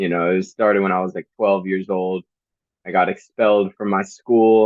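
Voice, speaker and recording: A man in a New Jersey accent with fairly even intonation. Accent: New Jersey American. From New Jersey, US. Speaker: hip hop artist. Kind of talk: interview. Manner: casual, halting with fillers.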